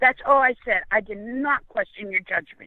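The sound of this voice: A woman's fairly high voice, ordinary pitch variation, and a dry, close sound with no echo. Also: moderate pace.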